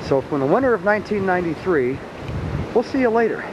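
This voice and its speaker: The speech runs at a moderate pace over noticeable background noise. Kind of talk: casual commentary. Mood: amused, laughing. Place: open country. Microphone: old recording.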